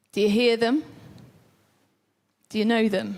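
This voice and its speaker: This woman's voice is loud with a fairly high pitch. She speaks at a moderate pace. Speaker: preacher. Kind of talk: sermon. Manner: animated.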